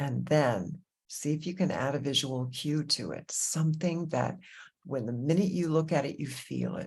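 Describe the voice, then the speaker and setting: On a very clean recording with a silent background, a woman with an American accent speaks at a moderate pace in a very deep, low pitch, using a warm, animated tone, ordinary pitch variation and vocal fry. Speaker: meditation teacher. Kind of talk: guided meditation intro talk. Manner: soft-spoken when getting into heart topics.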